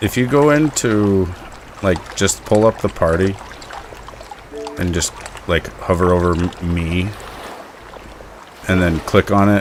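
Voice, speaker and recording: Over noticeable background noise, a man with an American accent and a very deep, low pitch speaks with long, frequent pauses. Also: ordinary pitch variation. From US West, northwest Montana. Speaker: gaming streamer. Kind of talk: casual chat. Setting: live stream with voice chat party. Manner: loud.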